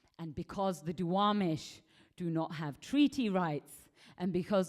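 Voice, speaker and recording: Fairly slow speech with an English accent, on a very clean recording with a silent background. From England. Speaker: conference speaker. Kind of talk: lecture.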